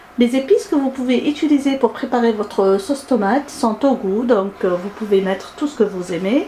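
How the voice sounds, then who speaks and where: Over noticeable background noise, the speaker talks at a moderate pace with lively intonation. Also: woman. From Algeria. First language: Arabic (speaking French). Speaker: cooking YouTuber. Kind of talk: cooking tutorial. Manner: hesitant with frequent fillers.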